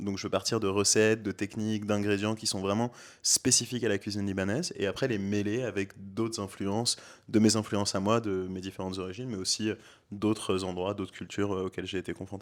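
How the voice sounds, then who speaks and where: A man with a fairly low pitch speaks at a fairly quick pace in a monotone, flat intonation. The recording is very clean with a silent background. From France, Beaujolais (Villefranche). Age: 20s. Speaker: aspiring restaurant owner. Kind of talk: casual interview. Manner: hesitant, many fillers.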